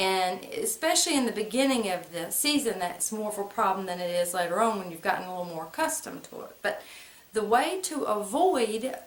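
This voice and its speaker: With an American accent, a woman speaks at a medium pitch and moderate pace with lively intonation, amid noticeable background noise and audible room echo. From US South, central North Carolina (Moore and Lee County). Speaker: vlogger. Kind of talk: personal storytelling to camera. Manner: casual, conversational.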